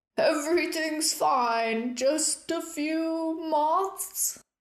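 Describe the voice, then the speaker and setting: Shouting in a put-on character voice, a woman sounds gruff and extremely high-pitched while going at a very slow pace. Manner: yelled.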